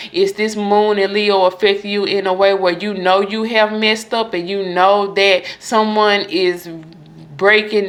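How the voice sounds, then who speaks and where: In a normal speaking voice, a woman of medium pitch speaks fairly slowly with fairly even intonation. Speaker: tarot reader. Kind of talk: astrology reading monologue.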